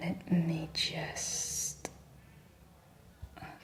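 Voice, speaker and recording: Noticeable background noise sits beneath a whispered voice. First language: French. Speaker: ASMR reiki practitioner. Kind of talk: ASMR reiki session with casual chat. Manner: soft-spoken; rambling, relaxed.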